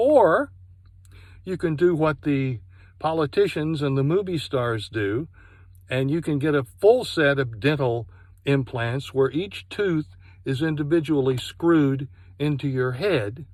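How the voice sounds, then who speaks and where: With a normal speaking voice, a man talks at a fairly high pitch and a fairly slow pace, his pitch varying in an ordinary way over a very clean recording with a silent background. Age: 60s. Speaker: product reviewer. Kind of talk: personal testimony review.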